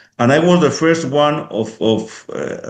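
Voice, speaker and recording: A man's fairly high-pitched voice, fairly slow, with ordinary pitch variation and audible room echo. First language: Spanish or Basque. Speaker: police helicopter pilot and instructor. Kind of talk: interview. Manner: halting.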